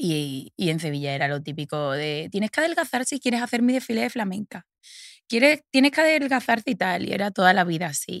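The voice moves at a fairly quick pace with very wide pitch swings, recorded dry and close with no echo against a silent background in a very clean take. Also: woman, medium pitch for a woman. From Andalusia, Seville province (Los Palacios y Villafranca). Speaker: fashion model. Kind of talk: interview conversation.

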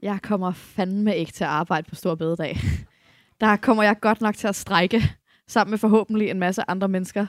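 A woman with an ordinary speaking voice and medium pitch talks at a moderate pace with fairly even intonation, in a very clean recording with a silent background and a dry, close sound with no echo. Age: 30s. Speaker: feminist activist. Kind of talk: live panel debate. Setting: stage with audience.

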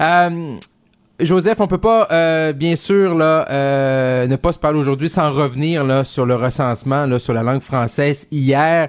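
Very slow delivery with ordinary pitch variation. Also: man, fairly high pitch for a man. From Saguenay–Lac-Saint-Jean, Quebec. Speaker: fill-in radio host. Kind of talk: talk radio interviews. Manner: hesitant with many fillers.

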